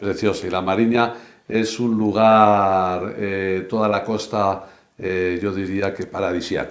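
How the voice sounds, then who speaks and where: Fairly low-pitched male voice with fairly even intonation and audible room echo. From Spain, Burgos (Castile). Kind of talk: interview conversation. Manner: halting, many fillers.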